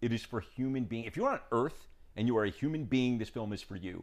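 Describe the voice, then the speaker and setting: A man with an American accent and a plain, everyday voice speaks at a moderate pace and medium pitch with lively intonation. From New York. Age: 50s. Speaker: documentary filmmaker. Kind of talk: casual interview conversation. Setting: in person at host's home.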